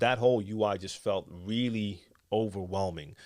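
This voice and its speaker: A man talks with fairly even intonation. The recording is very clean, with a silent background. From Netherlands, Amsterdam. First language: Dutch. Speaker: DJ and tutorial youtuber. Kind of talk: live stream Q&A chat. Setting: live stream studio. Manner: casual, many fillers.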